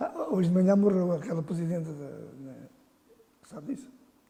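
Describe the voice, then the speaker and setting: A man speaks at high pitch and a fairly quick pace, with ordinary pitch variation. His loudness swings widely over noticeable background noise. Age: 70s. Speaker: football association president. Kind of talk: interview. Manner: halting.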